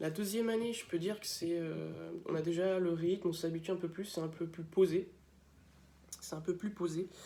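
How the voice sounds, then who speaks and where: Pitched high for a man, his voice has a dark, mellow tone, fairly even intonation and a moderate pace. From France, Laval (Mayenne). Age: 20s. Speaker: student. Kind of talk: video testimony about his school. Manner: hesitant, many filler sounds.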